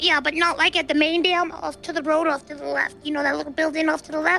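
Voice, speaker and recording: A put-on character voice at a very fast pace, with clear music in the background. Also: woman. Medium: game stream. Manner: insistent, repetitive, swears a lot.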